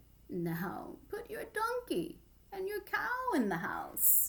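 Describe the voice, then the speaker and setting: A woman speaks in a put-on character voice with an extremely high pitch. She goes at a very slow pace. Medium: read story. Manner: calm, deliberate.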